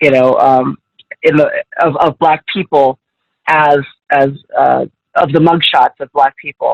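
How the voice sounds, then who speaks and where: Speaking at a fairly slow pace with long, frequent pauses, a woman with an American accent is heard in a dry, close sound with no echo. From Southern California. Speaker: journalist. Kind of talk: guest talk Q&A. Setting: video call. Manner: halting.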